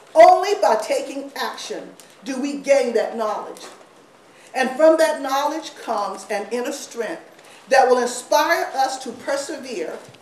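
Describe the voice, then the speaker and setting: A woman with a high pitch speaks at a fairly slow pace with lively intonation, over noticeable background noise and audible room echo. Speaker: council executive director. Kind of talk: welcoming speech. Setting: event with audience. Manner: loud; animated.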